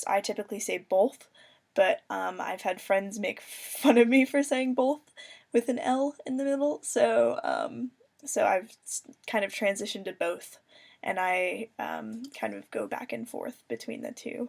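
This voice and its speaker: A woman's put-on character voice, raspy and fairly high in pitch, at a moderate pace. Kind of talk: casual, conversational.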